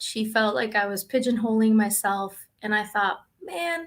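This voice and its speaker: Speaking with a Spanish accent, a woman talks at a moderate pace in a fairly high pitch. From Dominican Republic, raised in Brooklyn. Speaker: school psychologist. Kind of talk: interview.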